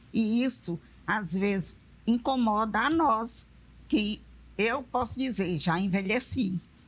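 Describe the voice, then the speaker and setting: A woman speaks very slowly with a fairly high pitch and vocal fry. Her loudness stays very even, broken by long, frequent pauses. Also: ordinary pitch variation. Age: 70s. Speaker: retired railway worker. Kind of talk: TV panel discussion.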